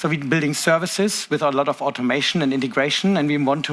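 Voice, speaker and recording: Very fast speech from a man with a German accent, fairly high pitch, and ordinary pitch variation. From Germany. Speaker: tech conference presenter. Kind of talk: conference talk. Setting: stage with audience.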